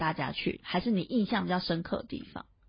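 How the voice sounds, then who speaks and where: A woman speaks in a somewhat breathy voice. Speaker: podcast co-host. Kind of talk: casual chat.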